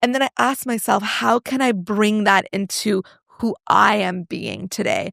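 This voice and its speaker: In a dry, close sound with no echo, a woman with vocal fry speaks at a moderate pace and fairly high pitch, with ordinary pitch variation. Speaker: personal branding coach and entrepreneur. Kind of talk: podcast interview. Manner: loud.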